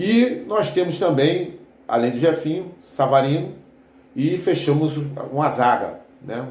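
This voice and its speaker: A man speaks in a relaxed, somewhat breathy voice, fairly high with lively intonation. Audible room echo surrounds him. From Rio de Janeiro suburbs, Brazil. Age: 60s. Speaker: football fan commentator, retired army veteran. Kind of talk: casual football commentary vlog. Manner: relaxed, conversational with frequent fillers.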